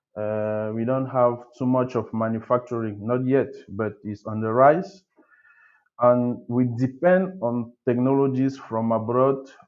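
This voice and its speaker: At a fairly slow pace, a man with a slight French accent speaks at a medium pitch with ordinary pitch variation. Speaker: architect, webinar speaker. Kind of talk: webinar presentation. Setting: video call webinar. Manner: halting, many fillers.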